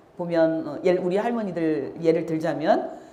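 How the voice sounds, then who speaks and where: The speech shows ordinary pitch variation with audible room echo. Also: woman. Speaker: activist and lecturer. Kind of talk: lecture.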